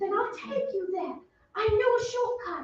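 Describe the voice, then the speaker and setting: In a put-on character voice, a woman speaks at a moderate pace with an extremely high, squeaky pitch. There is a slight echo. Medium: stage play.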